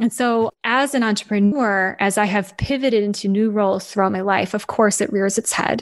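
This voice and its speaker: Moving at a moderate pace, a woman with an ordinary speaking voice keeps a medium pitch and fairly even intonation. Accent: American. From US Midwest, Michigan. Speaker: anthropologist and author. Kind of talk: casual interview chat.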